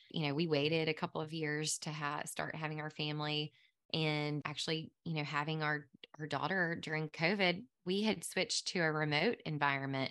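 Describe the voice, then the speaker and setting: A woman speaks in a very deep, low pitch with a Southern US accent. Her tone is bright and sharp, and her intonation stays fairly even. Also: moderate pace, quiet background. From US South, Mississippi Delta. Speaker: pharmacist and podcast host. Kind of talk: interview.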